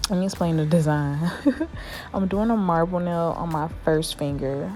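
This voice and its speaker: Music plays in the background, and the room echo is audible. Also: woman. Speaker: beginner nail tech vlogger. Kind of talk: casual vlog voiceover. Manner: casual, chatty.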